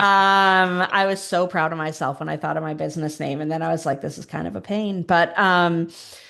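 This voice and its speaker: Using an ordinary speaking voice, a woman talks at a fairly low pitch and a fairly quick pace with hardly any pauses. Her intonation is fairly even, and the background is quiet. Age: 40s. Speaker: grief consultant and public speaker, former teacher. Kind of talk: podcast interview.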